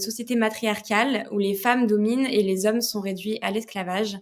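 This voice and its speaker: A woman with a fairly high voice keeps a moderate pace, her intonation fairly even. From France. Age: 20s. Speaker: novelist. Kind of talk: podcast interview. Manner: hesitant, many fillers.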